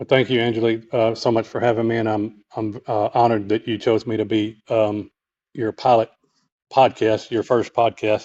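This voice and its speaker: A man with a dark, mellow tone talks at a medium pitch and a moderate pace, his intonation monotone and flat. The sound is dry and close with no echo, over a quiet background. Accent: Texas. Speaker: author and clairvoyant healer. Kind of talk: podcast interview. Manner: halting, many fillers.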